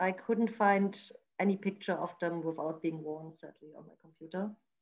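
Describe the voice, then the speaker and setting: Somewhat breathy, a woman speaks at a moderate pace. Her pitch varies in an ordinary way. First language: not English. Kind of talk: product presentation. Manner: halting, many fillers.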